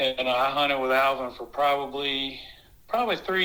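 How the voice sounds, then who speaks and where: In a Southern US accent, a man talks with a fairly high pitch and a bright, sharp tone. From US South, South Carolina (Blythewood). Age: 40s. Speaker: rabbit hunter, dog owner. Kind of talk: casual interview. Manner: hesitant, many fillers.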